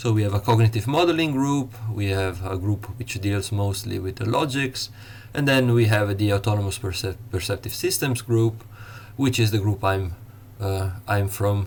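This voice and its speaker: A man speaks with an Italian accent. His pitch is fairly low and his voice somewhat breathy. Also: ordinary pitch variation, moderate pace. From Italy. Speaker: university lecturer. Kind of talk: lecture. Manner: halting, many fillers.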